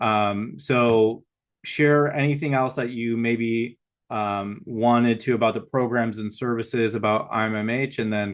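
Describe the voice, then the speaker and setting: A man with an American accent speaks at a fairly slow pace in a plain, everyday voice, medium in pitch, with fairly even intonation. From Michigan. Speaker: podcast host. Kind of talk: podcast interview questions.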